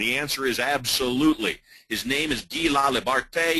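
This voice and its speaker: A man's medium-pitched, bright, sharp voice with an American accent and ordinary pitch variation. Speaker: hypnotist and business trainer. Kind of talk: webinar presentation.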